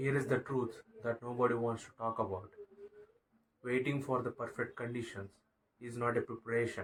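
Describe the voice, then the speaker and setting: A man with a non-native accent speaks at a moderate pace in a medium pitch, his voice somewhat breathy and his intonation flat and monotone. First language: not English. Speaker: motivational YouTuber. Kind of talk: motivational talk to camera. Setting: bedroom, sitting on bed. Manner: halting, stumbling over words.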